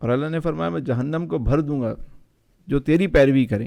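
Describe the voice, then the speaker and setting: A man with an unremarkable speaking voice talks at a medium pitch, with ordinary pitch variation. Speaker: Islamic scholar. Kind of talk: podcast interview answer.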